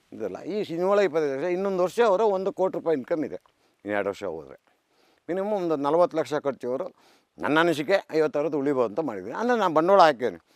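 The sound is dry and close with no echo, on a very clean recording with a silent background. A man with a fairly high pitch swings his voice very widely up and down. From rural Karnataka, India. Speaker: farmer. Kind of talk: interview.

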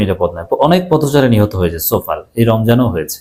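The man's voice has a dark, mellow tone. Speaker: political commentator. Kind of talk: political commentary monologue. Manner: animated.

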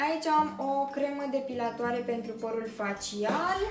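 Over clear background music, a woman speaks at a moderate pace with ordinary pitch variation. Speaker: beauty vlogger. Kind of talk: casual unboxing vlog chat. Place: home room.

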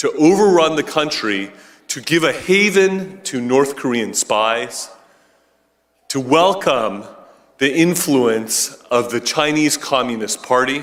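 The speaker uses lively intonation while talking at a very slow pace. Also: man, fairly high pitch for a man. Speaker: law professor and former ambassador. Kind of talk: political speech.

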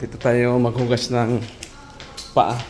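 Heard through noticeable background noise and audible room echo, a man speaks at a very slow pace with medium pitch. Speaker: overseas worker vlogger. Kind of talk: casual vlog. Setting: restaurant.

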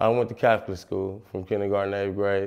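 A quiet background behind a man. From San Francisco, Fillmore district. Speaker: rapper. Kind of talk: interview monologue. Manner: casual, filler-heavy. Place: studio.

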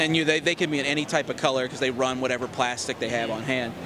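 Noticeable background noise sits behind a man with fairly even intonation. The sound is dry, with no echo. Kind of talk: interview answer. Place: hall. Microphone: handheld.

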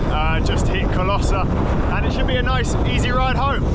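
Through loud background noise, a man speaks at a moderate pace in a dry sound with no echo. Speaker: cycling vlogger. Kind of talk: casual vlog chat. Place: bicycle.

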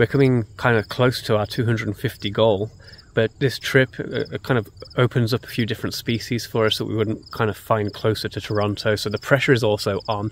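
With light background noise and a dry sound with no echo, a man speaks in a monotone, flat intonation. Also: moderate pace. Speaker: birding vlogger. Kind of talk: casual vlog chat. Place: open country. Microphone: phone near.

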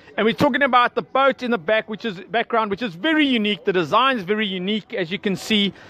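A man with a fast pace, high pitch, lively intonation and a bright, sharp tone.

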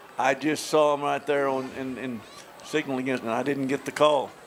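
Fairly high male voice, moderate pace and fairly even intonation, with light background noise. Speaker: color commentator. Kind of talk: sports commentary analysis. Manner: conversational, analytical.

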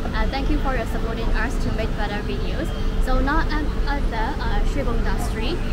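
Loud background noise sits behind the recording. A woman talks at a fairly quick pace. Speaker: travel vlog host. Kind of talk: casual vlog chat. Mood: friendly, upbeat. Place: street.

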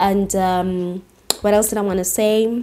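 A woman speaks at a fairly slow pace in a dark, mellow tone, her medium pitch showing little movement.

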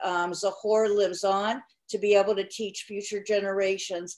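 A woman speaking at a fairly slow pace against a quiet background. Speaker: nonprofit representative. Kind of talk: casual chat. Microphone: video call.

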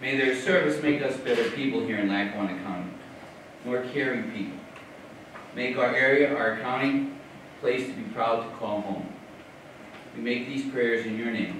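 Amid noticeable background noise and strong room echo, a man talks at a moderate pace with ordinary pitch variation and long, frequent pauses. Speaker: priest. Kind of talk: prayer. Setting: courtroom with audience. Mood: solemn, measured. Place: hall.

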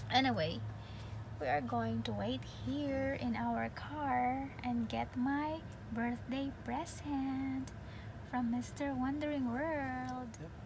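A woman at a very slow pace, dry with no echo, over noticeable background noise. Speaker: vlogger. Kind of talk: casual vlog chat. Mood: happy, excited. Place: car. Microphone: phone near.

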